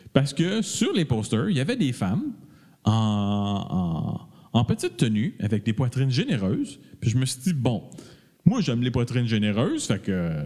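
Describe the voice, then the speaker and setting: A man talks at a moderate pace and a medium pitch with lively intonation. His tone is dark, mellow and somewhat breathy. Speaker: podcast co-host. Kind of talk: casual chat.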